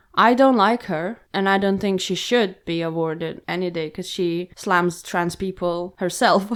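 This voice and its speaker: A woman with a non-native accent speaks at a fairly slow pace and keeps her intonation fairly even. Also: medium pitch for a woman, hardly any pauses. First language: not English. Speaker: podcast co-host. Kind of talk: casual discussion.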